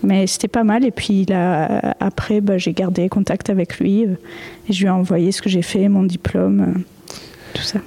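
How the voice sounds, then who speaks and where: Against noticeable background noise, a woman of medium pitch speaks at a very slow pace with fairly even intonation and very even loudness. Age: 20s. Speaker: digital artist. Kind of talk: interview. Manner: halting.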